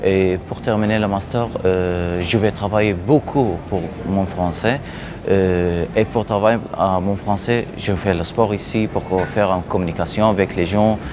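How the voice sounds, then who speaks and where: A man with an Arabic accent speaks very slowly in a fairly low pitch, his intonation fairly even, over noticeable background noise. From Iraq. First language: Arabic (speaking French). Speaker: refugee interviewee. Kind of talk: interview. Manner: halting.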